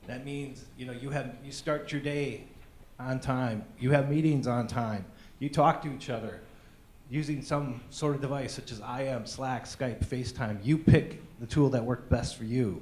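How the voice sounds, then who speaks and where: Somewhat breathy and at a moderate pace, the speaker keeps a fairly even intonation while the loudness swings widely, with audible room echo. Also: man, medium pitch for a man. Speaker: conference speaker. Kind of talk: conference talk.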